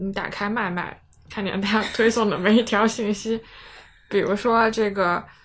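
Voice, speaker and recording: A woman is speaking, somewhat breathy. Her pitch lands in the medium range. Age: 30s. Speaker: podcast host. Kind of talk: casual chat.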